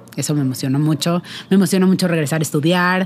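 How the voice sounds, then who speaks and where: A woman with a Mexican accent speaks at a fairly quick pace. Her fairly low voice keeps a fairly even intonation. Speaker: podcast co-host. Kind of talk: casual chat.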